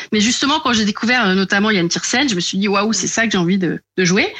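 The woman's voice is medium in pitch, with a bright, sharp tone. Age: 40s. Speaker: novelist. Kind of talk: casual chat. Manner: hesitant, many fillers.

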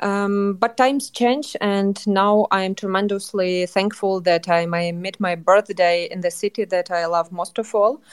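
With a Ukrainian accent, a woman talks with ordinary pitch variation. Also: medium pitch for a woman, fairly slow pace, hardly any pauses. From western Ukraine, Lviv. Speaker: journalist and culture manager. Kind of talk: interview. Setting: remote call from Ukraine. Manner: halting.

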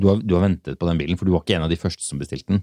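Very deep and low, a man's voice holds a fairly even intonation in a dry, close sound with no echo. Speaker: car podcast host. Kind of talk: casual chat.

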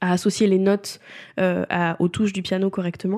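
A woman's medium-pitched voice with a dark, mellow tone on a very clean recording with a silent background. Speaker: podcast host and freelance content coach. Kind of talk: solo podcast monologue.

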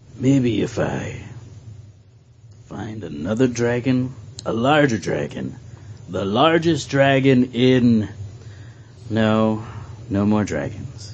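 Putting on a character voice, a woman speaks raspy and very deep at a very slow pace, with long, frequent pauses.

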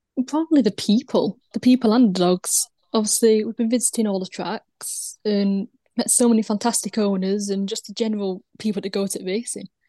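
A woman speaks fairly quickly in a somewhat breathy, dark and mellow tone, her intonation fairly even and the sound dry and close with no echo. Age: young. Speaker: greyhound owner. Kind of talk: casual interview.

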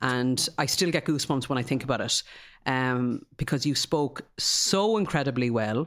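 An ordinary speaking voice moves at a fairly slow pace with lively intonation on a very clean recording with a silent background. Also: man. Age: 40s. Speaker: podcast host. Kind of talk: interview.

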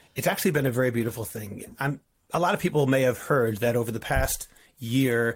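A man at medium pitch with an American accent speaks fairly quickly and sounds somewhat breathy. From US Northeast, Boston. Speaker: rabbi. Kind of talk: interview.

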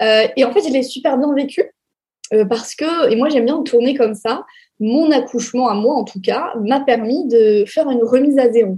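A woman's high-pitched voice with a dark, mellow tone, moderate pace and ordinary pitch variation. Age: 20s. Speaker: sex educator and influencer. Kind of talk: interview. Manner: hesitant with fillers.

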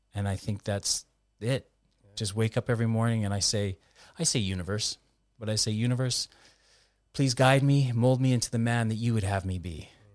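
Fairly quick delivery with long, frequent pauses, ordinary pitch variation and a dry, close sound with no echo. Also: man, medium pitch for a man. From Canada. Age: 50s. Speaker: former ice hockey player, mental health nonprofit founder. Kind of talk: interview, personal testimony.

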